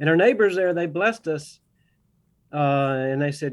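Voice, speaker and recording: Lively intonation from a man with a Southern accent, fairly high pitch and moderate pace. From US South, Augusta, Georgia. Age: 60s. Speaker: organic farmer and biology professor. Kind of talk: radio interview.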